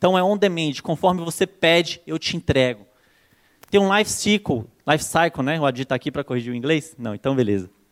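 On a very clean recording with a silent background, a man speaks at a moderate pace. His high voice has an animated tone with very wide pitch swings. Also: dry, close sound with no echo. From Brazil, Brasília. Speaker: marketing consultant. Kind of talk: conference talk. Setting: stage with audience.

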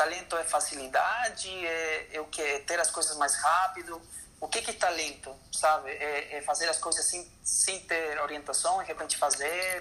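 A man with a Spanish accent speaks in a high pitch at a moderate pace. His intonation stays fairly even over noticeable background noise. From Chile. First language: Spanish (speaking Portuguese). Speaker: orchestral percussionist. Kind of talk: interview. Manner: halting.

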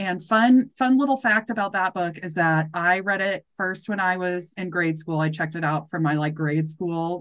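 With an American accent, a woman talks in a fairly low pitch at a moderate pace, with hardly any pauses. Her pitch varies in an ordinary way, and the background is quiet. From US Midwest, central Missouri. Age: 30s. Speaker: nonprofit fundraiser. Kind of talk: casual interview chat.

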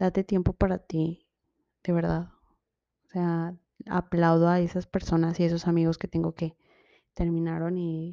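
A woman speaks at a fairly slow pace in a fairly low pitch with a dark, mellow tone. The sound is dry and close, with no echo. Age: 20s. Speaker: podcast host. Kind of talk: casual monologue. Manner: animated.

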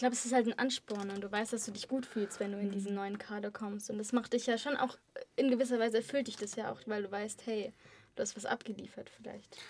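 Her voice fairly high, a woman talks at a very fast pace with monotone, flat intonation. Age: 20s. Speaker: media studies student. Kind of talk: casual chat.

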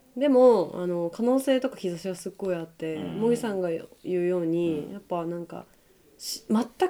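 A woman's dark, mellow tone carries her words at a moderate pace. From Hokkaido, Japan (Kushiro). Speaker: apparel brand staff, community organizer. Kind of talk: casual interview. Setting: shop.

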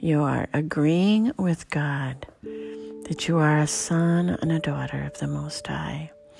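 There is noticeable background noise as a woman speaks. Her pace is very slow, with hardly any pauses. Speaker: podcast host and meditation guide. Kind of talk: guided meditation.

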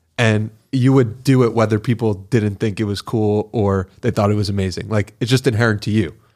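In a very clean recording with a silent background, a man with an ordinary speaking voice talks at a fairly quick pace in a fairly low pitch with fairly even intonation. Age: 20s. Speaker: podcast host. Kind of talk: casual chat.

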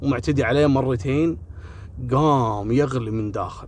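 A somewhat breathy voice with a Kuwaiti accent and lively intonation, at a fairly slow pace with audible room echo. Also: man. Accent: Kuwaiti Gulf Arabic. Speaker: storyteller. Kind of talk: storytelling monologue.

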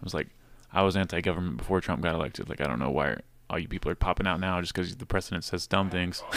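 A very deep, low-pitched man with vocal fry, talking at a very fast pace. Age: 20s. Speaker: podcast host and comedian. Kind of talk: casual chat.

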